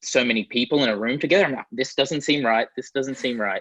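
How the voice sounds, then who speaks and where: A man with an Australian accent speaks at a medium pitch. The sound is dry and close with no echo, over a quiet background. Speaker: guitarist and producer. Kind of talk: interview answer. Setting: video call.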